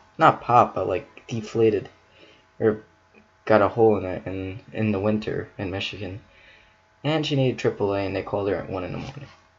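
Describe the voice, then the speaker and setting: Quiet and somewhat breathy, a man's fairly low voice moves at a fairly quick pace with ordinary pitch variation and big swings in loudness. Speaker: YouTuber reacting to stories. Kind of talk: casual reaction commentary. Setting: at home. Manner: halting.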